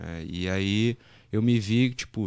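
A man's fairly low voice with ordinary pitch variation, a dry sound with no echo and a quiet background. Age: 20s. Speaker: sports betting tipster, former marine; podcast guest. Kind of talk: podcast interview. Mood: relaxed, storytelling. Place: studio. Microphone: studio mic.

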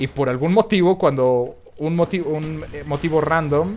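There is light background noise. A man speaks with ordinary pitch variation. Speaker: gaming youtuber. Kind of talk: gameplay commentary. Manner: halting, repetitive. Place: home room.

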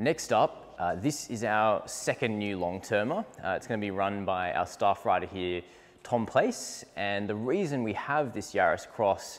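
Here is a man with an unremarkable speaking voice. He speaks at a fairly low pitch and a fairly slow pace. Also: ordinary pitch variation. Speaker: presenter. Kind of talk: casual presenter walkthrough. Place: garage. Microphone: lapel.

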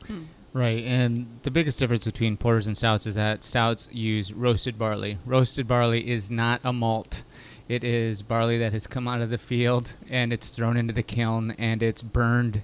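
Recorded dry with no echo, a man talks at a moderate pace. His intonation is monotone and flat. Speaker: podcast host or brewer. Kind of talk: podcast discussion. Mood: relaxed, jokey. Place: home room. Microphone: studio mic.

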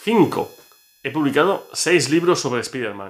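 A man talks at a moderate pace with lively intonation against a quiet background. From Barcelona, Spain; Spain. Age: 40s. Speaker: comics YouTuber and author; comics content creator. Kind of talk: casual vlog monologue. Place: home room. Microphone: phone near.

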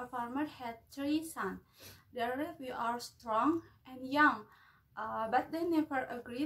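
A woman with an Indonesian accent speaks at a very slow pace. Her voice is high-pitched, with ordinary pitch variation. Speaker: university student. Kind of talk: storytelling. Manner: halting. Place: home room. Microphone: phone near.

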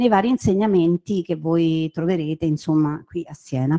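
Over a quiet background, a woman speaks at a moderate pace in a dark, mellow tone. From Rome, Italy; Italy. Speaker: university lecturer. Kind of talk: presentation. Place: classroom. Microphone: handheld.

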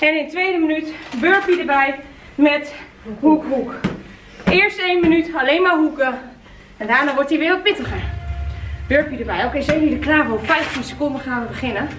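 A woman speaks in a high voice with long, frequent pauses. Noticeable background noise is present. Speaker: fitness instructor. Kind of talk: workout instruction, coaching calls. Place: gym. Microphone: camera far.

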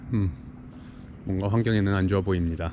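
Dry with no echo and set over light background noise, a man's fairly low voice has a dark, mellow tone. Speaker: vlogger on a work trip. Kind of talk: casual vlog chat. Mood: relaxed, content. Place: waterside. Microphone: phone near.

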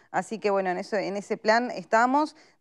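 A woman speaks at a moderate pace in a fairly high voice. Her pitch varies in an ordinary way against a quiet background. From Uruguay. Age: 30s. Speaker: politician. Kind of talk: panel discussion. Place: studio.

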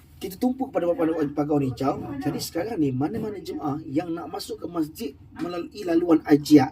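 Over noticeable background noise, a man with a high pitch and lively intonation talks at a moderate pace with hardly any pauses. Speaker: Hajj/Umrah group guide. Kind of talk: vlog field report. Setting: outdoors.

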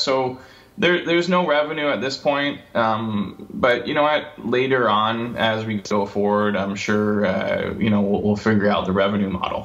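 With an American accent and ordinary pitch variation, a man speaks amid noticeable background noise and audible room echo. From US Midwest (Michigan). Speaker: entrepreneur. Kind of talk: interview. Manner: halting, many fillers.

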